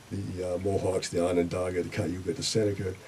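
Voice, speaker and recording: Fairly quick speech from a man, with noticeable background noise. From Boston, Massachusetts, US. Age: 70s. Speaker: retired sociology professor. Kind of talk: radio interview. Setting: radio studio. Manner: halting, frequent uh fillers.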